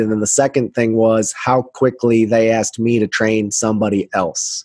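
A man with an American accent speaks at a moderate pace and medium pitch. The sound is dry and close, with no echo. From United States. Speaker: emergency dispatch trainer. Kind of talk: interview.

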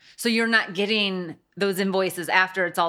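The speaker talks at a fairly slow pace with a Midwestern American accent and a monotone, flat intonation. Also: woman. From US Midwest. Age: 40s. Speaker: interior design firm owner. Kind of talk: casual interview. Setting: studio.

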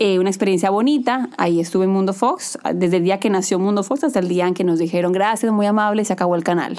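At a very fast pace with hardly any pauses, the voice holds a very even loudness and ordinary pitch variation. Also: woman, medium pitch for a woman. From Colombia. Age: 30s. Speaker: TV news anchor. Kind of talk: casual interview. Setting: studio.

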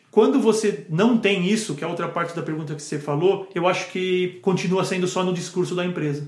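At a fairly quick pace with ordinary pitch variation, the speech carries audible room echo and noticeable background noise. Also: man. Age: 40s. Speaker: pharmaceutical sales manager. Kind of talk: casual interview chat.

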